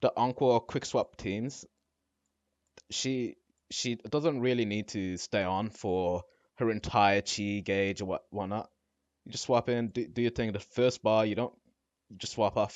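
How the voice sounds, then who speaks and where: Pausing long and often, a man with a non-native accent speaks at a fairly slow pace and a fairly low pitch. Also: fairly even intonation. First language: not English. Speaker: gaming content creator. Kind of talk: casual commentary on a game tier list.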